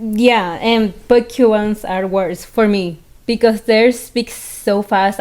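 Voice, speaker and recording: A woman with a Venezuelan accent speaks at a fairly slow pace in a fairly high pitch, with ordinary pitch variation. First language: Spanish. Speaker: podcast co-host. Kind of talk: casual chat.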